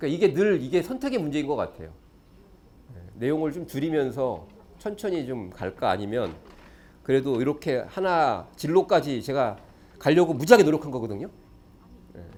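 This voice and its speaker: A man speaks with fairly high pitch, very wide pitch swings and vocal fry. His delivery has long, frequent pauses. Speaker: education lecturer. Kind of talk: lecture. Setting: stage with audience. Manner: fast.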